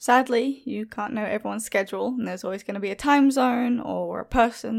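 A woman with an Australian accent speaks at a fairly quick pace, her pitch varying in an ordinary way. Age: young. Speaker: horror story narrator. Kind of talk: reading prepared answers.

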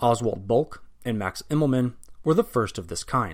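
Medium in pitch, a man's voice comes through. He keeps a moderate pace. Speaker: podcast host. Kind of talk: history documentary narration. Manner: formal, measured, even-paced narrator.

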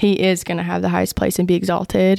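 Speech moves along fairly quickly. It comes with a Southern US accent. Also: woman. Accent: Southern American. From US South, Georgia (Vidalia). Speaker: campus ministry worker. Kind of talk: casual chat.

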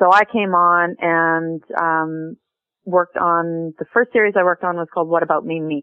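At a moderate pace, a woman with a western Canadian accent speaks at a fairly low pitch. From western Canada (Calgary, Vancouver). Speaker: TV writer. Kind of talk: interview.

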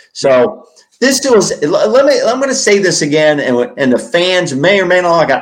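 His pitch swinging very widely, a man speaks at a moderate pace. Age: 70s. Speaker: sports podcast co-host. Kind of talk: casual sports talk, post-game reaction. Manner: talkative, opinionated, conversational.

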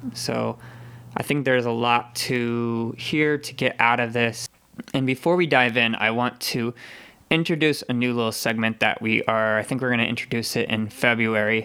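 This man's tone is bright and sharp, set at a medium pitch, with fairly even intonation and a moderate pace. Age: 20s. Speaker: podcast host. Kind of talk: interview.

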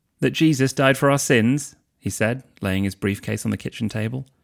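A man's medium-pitched voice with lively intonation at a moderate pace, recorded very cleanly against a silent background. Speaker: husband reading for the host. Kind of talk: audiobook-style reading aloud of fan fiction, narration with quoted character dialogue. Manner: measured, expressive storyteller pacing; shifts to emotional, voiced dialogue for characters.

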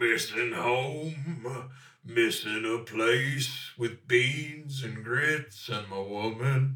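Using a gruff put-on character voice, a man talks very slowly at a medium pitch. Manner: longing.

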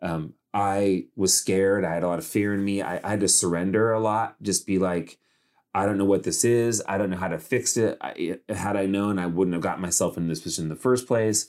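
A man with an American accent and an unremarkable speaking voice, fairly low in pitch, at a fairly quick pace with ordinary pitch variation, in a very clean recording with a silent background. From California, Modesto. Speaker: author and public speaker. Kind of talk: interview conversation.

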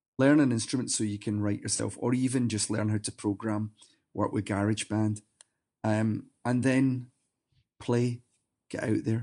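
The man talks at a fairly slow pace in a fairly low, dark, mellow voice with monotone, flat intonation. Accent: Glaswegian. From Scotland, near Glasgow. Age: 50s. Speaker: singer in a rock band. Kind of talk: interview, casual chat.

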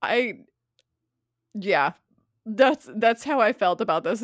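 A woman's fairly high, animated voice at a fairly slow pace with lively intonation, in a dry, close sound with no echo and a very clean recording with a silent background. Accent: American. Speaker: true crime podcast co-host. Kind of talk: casual chat. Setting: handheld microphone.

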